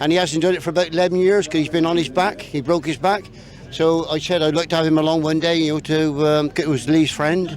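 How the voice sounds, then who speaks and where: Music plays in the background as a man talks. His pitch is fairly high and his pace very fast. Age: 60s. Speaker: rally driver. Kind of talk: interview. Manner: animated.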